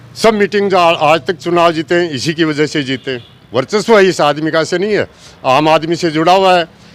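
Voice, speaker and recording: Moderate pace and ordinary pitch variation. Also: man, high pitch for a man. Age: 60s. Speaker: villager voter. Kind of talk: street interview.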